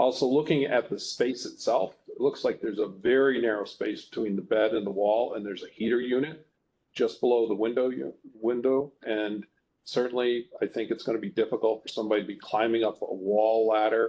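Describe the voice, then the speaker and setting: A man with a medium pitch and an ordinary speaking voice talks at a fairly quick pace. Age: 60s. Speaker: review board member. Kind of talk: public hearing. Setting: hearing room, video conference.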